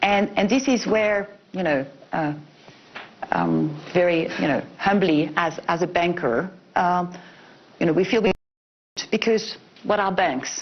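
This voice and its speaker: Pausing long and often, a woman speaks in a fairly low voice with ordinary pitch variation and very even loudness. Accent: French. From France. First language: French. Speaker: bank executive. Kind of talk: panel discussion.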